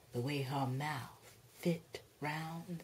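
A woman speaks in a dramatic tone. Her voice is somewhat breathy, with a dark, mellow tone. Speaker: actress performing a poem. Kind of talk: spoken word poetry, dramatic reading of a poem. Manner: expressive, dramatic, rhythmic delivery.

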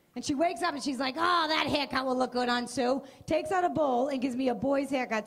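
High pitch from a woman, with ordinary pitch variation. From Boston area, US Northeast. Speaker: stand-up comedian. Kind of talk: stand-up. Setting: stage with audience. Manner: animated. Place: stage. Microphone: handheld.

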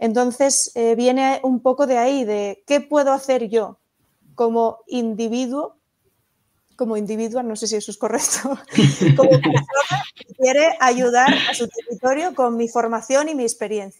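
At a fairly slow pace, a high-pitched woman speaks with ordinary pitch variation and big swings in loudness. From Asturias, western (Allande). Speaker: astrophysicist and astrotourism entrepreneur. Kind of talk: interview conversation. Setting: live video podcast.

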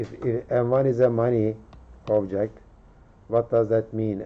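Very slow speech from a man. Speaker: university lecturer. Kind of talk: lecture. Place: hall.

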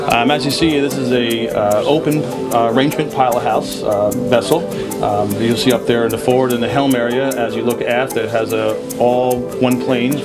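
Over loud background music, a man talks at a moderate pace. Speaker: yacht sales partner. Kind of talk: interview answer. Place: boat. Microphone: handheld.

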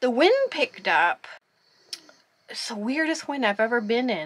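The voice has a bright, sharp tone against a quiet background. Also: woman. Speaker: solo sailor vlogger. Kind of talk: casual vlog chat. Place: boat. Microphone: phone near.

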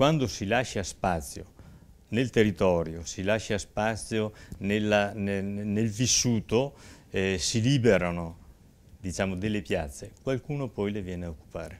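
A man talks in an ordinary speaking voice, fairly low in pitch, at a fairly slow pace with ordinary pitch variation. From Verona, northern Italy; moved to Saronno at 20; northern Italy. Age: 60s. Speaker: mayoral candidate; candidate. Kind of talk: political talk show interview. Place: studio. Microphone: lapel.

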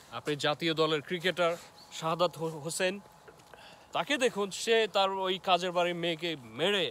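Speaking at a high pitch with ordinary variation, a man is recorded with a dry sound with no echo and light background noise. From Bangladesh. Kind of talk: casual chat. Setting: outdoors. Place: forest. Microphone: phone near.

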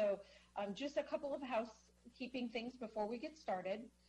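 Amid light background noise, a woman speaks with a somewhat breathy, dark, mellow tone. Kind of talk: meeting presentation. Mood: friendly, welcoming. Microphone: video call.

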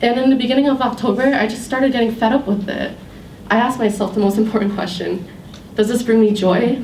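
With an American accent, a woman talks at a fairly quick pace in a fairly high pitch with ordinary pitch variation, amid light background noise and audible room echo. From Worcester, Massachusetts. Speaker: college student. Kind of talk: prepared speech. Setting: stage with audience. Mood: warm, smiling, reflective. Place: hall.

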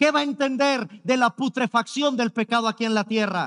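Against a quiet background, a man speaks at an extremely high pitch, his animated, dramatic tone carried by ordinary pitch variation. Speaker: preacher. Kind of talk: sermon. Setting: church service streamed online. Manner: emphatic, pleading, repeating key words for effect; animated, mimicking objections with a dramatic sigh. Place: stage. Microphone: headset.

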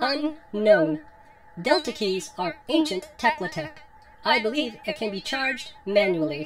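A cartoonish, female-sounding character voice pitched high for a woman swings very widely in pitch over light background noise. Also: moderate pace. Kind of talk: scripted drama dialogue, flat robotic reports. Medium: puppet show. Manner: deadpan, clinical, monotone.

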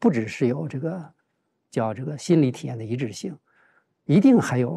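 A man's dark, mellow voice with lively intonation at a fairly quick pace, over a quiet background. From China, Heilongjiang. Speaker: journalism professor and family caregiver; talk show guest. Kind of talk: casual chat. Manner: halting. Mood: calm, reflective. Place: studio. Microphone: lapel.

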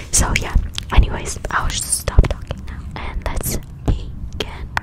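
A woman's fairly slow speech over loud background noise. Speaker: ASMR creator. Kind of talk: soft casual ASMR chat. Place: empty room. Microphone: studio mic.

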